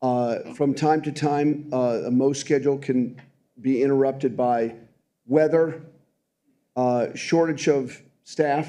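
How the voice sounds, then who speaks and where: Speaking at a very slow pace with long, frequent pauses, a man uses a fairly high pitch, a dark, mellow tone and fairly even intonation, with audible room echo around him. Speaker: city department official. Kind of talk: council meeting testimony.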